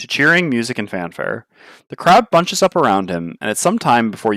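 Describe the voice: Simply plain reading aloud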